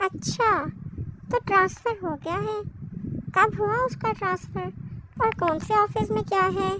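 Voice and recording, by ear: A female-sounding, cartoonish character voice pitched extremely high moves at a moderate pace. Long, frequent pauses break it up over clear background noise.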